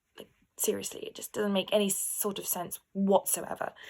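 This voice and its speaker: This is a woman speaking. She talks in an English accent. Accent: posh, well-spoken English. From London, England. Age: 20s. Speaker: vlogger. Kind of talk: personal vlog monologue. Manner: animated.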